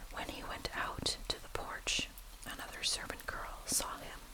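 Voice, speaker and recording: The words come out in a whisper, fairly slowly. Background noise is noticeable throughout. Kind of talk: bible reading for sleep and relaxation. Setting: rain and thunder ambience. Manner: whispered.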